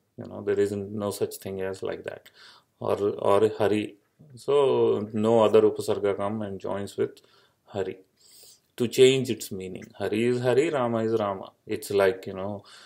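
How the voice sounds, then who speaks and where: A man with an Indian accent talks at a moderate pace. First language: Indian language. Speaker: Sanskrit grammar teacher. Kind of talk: lecture. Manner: halting with many fillers.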